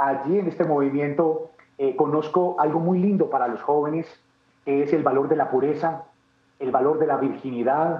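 With an Antioquian accent, a man speaks at a moderate pace. His pitch is fairly high and his intonation fairly even. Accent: Colombian paisa Spanish. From Colombia, Medellín (paisa). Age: 30s. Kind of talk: interview testimony.

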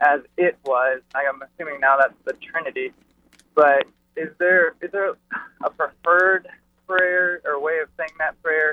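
Delivered at a fairly slow pace, this is a plain, everyday voice with fairly even intonation. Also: man, fairly high pitch for a man. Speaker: caller. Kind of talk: phone-in question. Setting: phone call.

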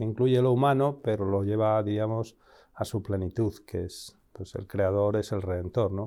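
Here a man speaks at a medium pitch and a moderate pace. He has a plain, everyday voice. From Spain, Madrid. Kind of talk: interview.

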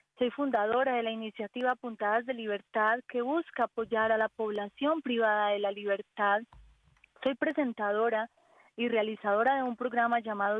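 This woman has an unremarkable speaking voice, fairly high in pitch. Her intonation is fairly even and her pace moderate. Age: 40s. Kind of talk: radio interview.

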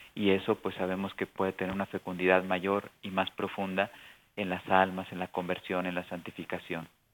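A man's very deep, low voice in a monotone, flat intonation at a moderate pace. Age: 50s. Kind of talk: radio interview.

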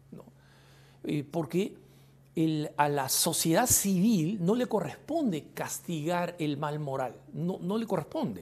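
In a very clean recording with a silent background, a man with a high-pitched voice speaks at a very slow pace. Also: lively intonation. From Peru, Lima. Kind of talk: Q&A commentary. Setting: studio.

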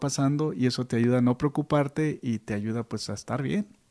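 Here a man talks fairly quickly in a dark, mellow tone at medium pitch. The recording is very clean, with a silent background. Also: dry, close sound with no echo. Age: 50s. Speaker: priest and radio co-host. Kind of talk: casual chat.

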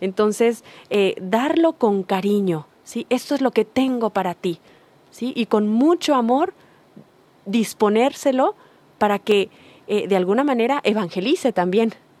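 Fairly slow and fairly high-pitched, a woman speaks in a plain, everyday voice with lively intonation, the sound dry and close with no echo. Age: 40s. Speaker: workshop facilitator, humanities doctor. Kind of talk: radio talk show. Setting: radio studio.

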